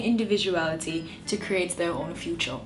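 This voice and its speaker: Music plays in the background. A woman talks at a moderate pace with ordinary pitch variation. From Jamaica. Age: 20s. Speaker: YouTuber, motivational speaker. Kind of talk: casual talk to camera.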